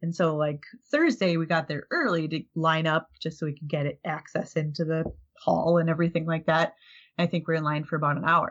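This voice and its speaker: A woman with an American accent talks at a fairly quick pace in a fairly low pitch. Her intonation is monotone and flat. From Minnesota. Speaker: podcaster, convention media. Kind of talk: casual chat.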